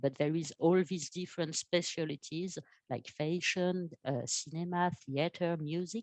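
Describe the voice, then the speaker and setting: With a French accent, a woman speaks at a fairly slow pace in a fairly low pitch with fairly even intonation. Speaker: art education program manager. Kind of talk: webinar presentation. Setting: online webinar. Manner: halting, many fillers.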